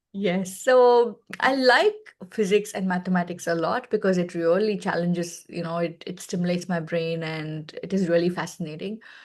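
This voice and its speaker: A woman with a Telugu accent, fairly low in pitch with ordinary pitch variation, at a moderate pace. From India, Chennai. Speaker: space education partnerships head. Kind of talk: interview conversation. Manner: animated.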